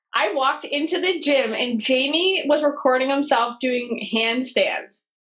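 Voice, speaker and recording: A woman speaks at a fairly slow pace with a high pitch. Her pitch varies in an ordinary way. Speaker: media company founder. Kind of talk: podcast interview. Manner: casual, animated.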